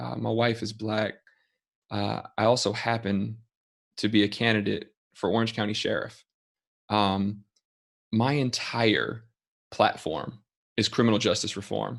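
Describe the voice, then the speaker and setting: With an American accent, this speaker uses vocal fry and fairly even intonation, moving at a fairly slow pace with long, frequent pauses. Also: man, fairly low pitch for a man. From Florida, Orlando. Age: 30s. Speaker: attorney and political candidate. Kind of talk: speech at online event. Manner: hesitant, many fillers.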